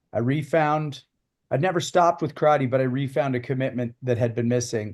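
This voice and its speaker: A plain, everyday voice from a man at a fairly quick pace with ordinary pitch variation. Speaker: martial arts podcast host. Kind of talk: casual chat.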